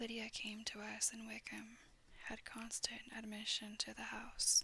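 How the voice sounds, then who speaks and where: A soft-spoken voice at a fairly slow pace. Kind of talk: soft-spoken ASMR audiobook reading of a classic novel. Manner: soft-spoken, quiet.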